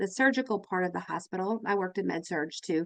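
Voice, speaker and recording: A woman speaks fairly quickly, her pitch varying in an ordinary way. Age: 50s. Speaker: nurse and podcast host. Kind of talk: live webinar chat. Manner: animated.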